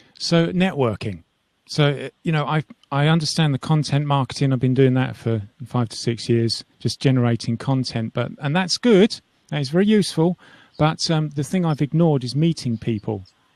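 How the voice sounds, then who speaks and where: A man with an English accent, fairly high in pitch, at a moderate pace with lively intonation, in a dry, close sound with no echo. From England. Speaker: 3D animator. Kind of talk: casual chat.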